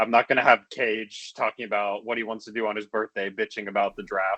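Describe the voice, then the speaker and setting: A loud man talks at a fairly quick pace in a fairly low pitch. His tone is bright and sharp, and the sound is dry and close with no echo. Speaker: fantasy football league member. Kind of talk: casual chat. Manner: animated.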